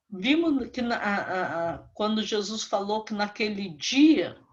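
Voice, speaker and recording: At a very slow pace and with lively intonation, a woman talks over noticeable background noise. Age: 70s. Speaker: Bible teacher. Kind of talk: sermon. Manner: fervent.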